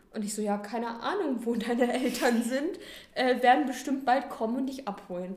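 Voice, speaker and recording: A woman's high voice with ordinary pitch variation, amid noticeable background noise and audible room echo. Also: moderate pace. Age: 20s. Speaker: nursery teacher. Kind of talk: casual chat.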